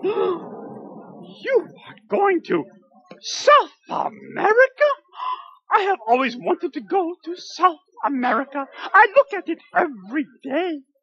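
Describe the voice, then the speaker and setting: An extremely high cartoonish character voice with very wide pitch swings moves at a fairly slow pace. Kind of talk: comic puppet sketch. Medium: puppet show. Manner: polite, earnest, dreamy, wordy.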